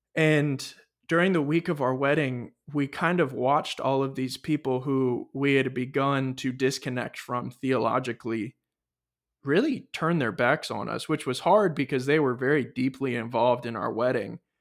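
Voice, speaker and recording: Here a man with an American accent uses a plain, everyday voice at medium pitch and a moderate pace, with ordinary pitch variation. The recording is very clean, the background silent. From California. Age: 20s. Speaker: podcast host. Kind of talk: personal testimony.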